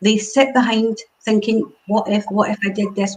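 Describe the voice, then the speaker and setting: A woman talks at a moderate pace with a Glasgow accent. Her pitch sits fairly high. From Scotland, Glasgow. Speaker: networking group founder. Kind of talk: interview on a live stream. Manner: animated.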